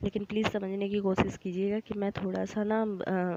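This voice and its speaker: Heard in a dry, close sound with no echo, a woman speaks at a medium pitch with monotone, flat intonation. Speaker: homemaker vlogger. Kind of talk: cooking vlog narration. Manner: halting, with pauses.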